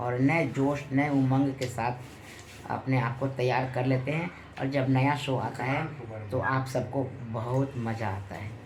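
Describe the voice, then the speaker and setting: The speaker has a Bihari accent and ordinary pitch variation. Audible room echo fills the recording. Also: man. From Bihar, Muzaffarpur. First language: Bhojpuri (speaking Hindi). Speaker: film and TV actor. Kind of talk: interview.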